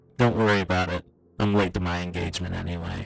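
A man puts on a raspy character voice with a very deep, low pitch. He talks at a very fast pace.

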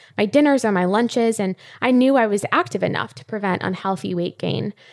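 In a plain, everyday voice, a woman speaks fairly quickly at a fairly high pitch with lively intonation. The recording is very clean, with a silent background. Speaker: fitness coach. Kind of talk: interview.

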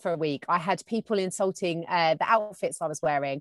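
Very fast speech from a woman with a fairly low voice, dry and close with no echo. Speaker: television and radio presenter. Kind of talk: casual chat. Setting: in-person studio conversation.

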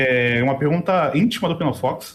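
A man with an unremarkable speaking voice talks at a moderate pace with lively intonation. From Brazil, Rio de Janeiro. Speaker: podcast host. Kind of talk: casual interview. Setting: live stream.

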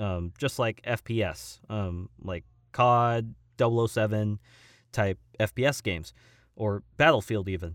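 Moderate-paced speech in a Californian accent with long, frequent pauses and ordinary pitch variation, on a very clean recording with a silent background and a dry, close sound with no echo. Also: man, fairly low pitch for a man. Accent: General American (Californian). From Southern California (Simi Valley). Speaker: voice actor and stuntman. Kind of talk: interview conversation. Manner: halting, many fillers and restarts.

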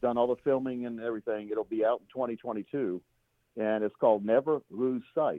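Here is a man with an unremarkable speaking voice. He speaks at a medium pitch and a fairly quick pace. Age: 50s. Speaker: financial planner and radio host. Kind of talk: casual interview.

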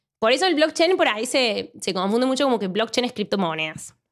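A woman speaks with a Cordoban Argentine accent and a lively, bouncy intonation. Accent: Argentine Spanish, Córdoba. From Argentina, Córdoba. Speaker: mathematics PhD researcher. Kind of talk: casual interview.

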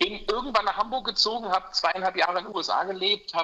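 At a fairly quick pace, a man speaks in a bright, sharp tone. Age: 50s. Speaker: mortgage broker. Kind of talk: interview. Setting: remote call from holiday in Mallorca.

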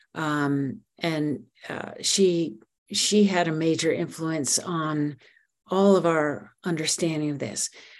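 A woman with a very deep, low pitch speaks at a very slow pace with ordinary pitch variation. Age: 70s. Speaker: dyslexia researcher, clinician. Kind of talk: interview, explanatory talk.

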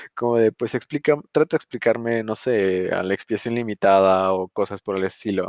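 Dry and close with no echo, a man's fairly low voice keeps a moderate pace with ordinary pitch variation and hardly any pauses. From Mexico. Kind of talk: bible teaching podcast. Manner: casual, hesitant with fillers.

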